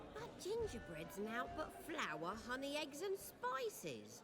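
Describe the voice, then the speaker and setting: Fairly slow delivery in a put-on character voice, clear background noise behind it. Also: woman, high pitch for a woman. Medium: video game. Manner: matter-of-fact.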